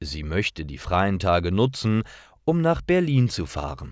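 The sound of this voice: A man at a slow pace, with very wide pitch swings. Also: very clean recording, silent background.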